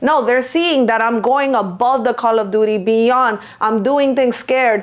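Against noticeable background noise, a woman talks at a high pitch with ordinary pitch variation. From Venezuela. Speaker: lash artist and business owner. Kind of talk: casual chat. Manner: animated.

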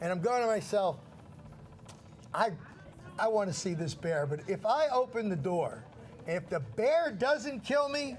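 Speaking at a fairly slow pace with long, frequent pauses, a man with an American accent uses a high pitch and very wide pitch swings. Light background noise can be heard. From New Jersey, Red Bank; New Jersey. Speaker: shopping channel host. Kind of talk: casual storytelling on live TV. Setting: TV studio. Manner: animated. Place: studio. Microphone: lapel.

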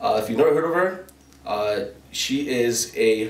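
Audible room echo follows a man as he talks at a moderate tempo. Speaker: podcast host. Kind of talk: casual podcast intro and interview question. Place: studio.

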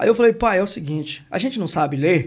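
A man speaks at a very fast pace in a high-pitched voice. His intonation is lively, and the background is quiet. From interior of São Paulo state, Brazil. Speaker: construction entrepreneur and YouTuber. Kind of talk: casual interview. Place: studio. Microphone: studio mic.

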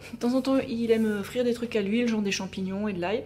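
A woman with a fairly high pitch is heard over light background noise. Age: 30s. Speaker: lifestyle YouTuber and nutrition coach; lifestyle vlogger. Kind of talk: casual home tour video; casual vlog chat. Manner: chatty, with frequent hesitations. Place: kitchen. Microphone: phone near.

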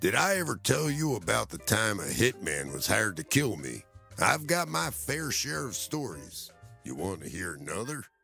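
Music plays behind a man speaking at a moderate pace and a fairly low pitch. His pitch swings very widely. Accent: American. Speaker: voice actor.

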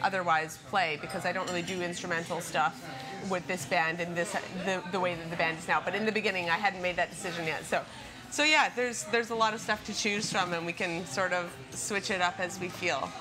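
Clear music plays in the background. A woman speaks over it at a fairly quick pace. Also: fairly low pitch for a woman, ordinary pitch variation. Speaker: interviewee. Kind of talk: interview answer. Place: cafe. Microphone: camera far.

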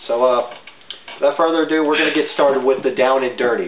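A man's voice carries audible room echo, with light background noise underneath. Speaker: web show co-host. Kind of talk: casual panel chat. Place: home room. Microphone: camera far.

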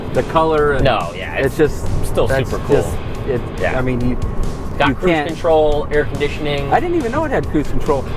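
A man speaks at a fairly quick pace with music in the background. The sound is dry, with no echo. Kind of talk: casual conversation. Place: car.

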